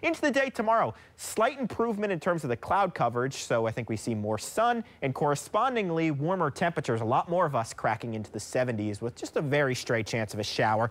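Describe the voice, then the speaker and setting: The delivery is very fast and upbeat, with hardly any pauses. Pitch swings very widely throughout. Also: man, fairly high pitch for a man. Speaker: TV weather forecaster. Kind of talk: TV weather forecast. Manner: fluent, upbeat, brisk. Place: studio. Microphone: lapel.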